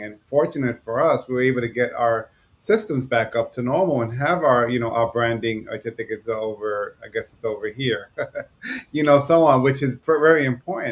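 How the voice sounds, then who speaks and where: A man with a New York accent, medium pitch, ordinary pitch variation and a fairly quick pace. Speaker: podcast co-host. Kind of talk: casual podcast chat. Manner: fast.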